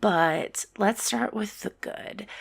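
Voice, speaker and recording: A woman speaks softly in a relaxed tone. Her intonation is lively. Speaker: podcaster and gamer. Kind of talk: casual gaming podcast. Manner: soft-spoken, relaxed.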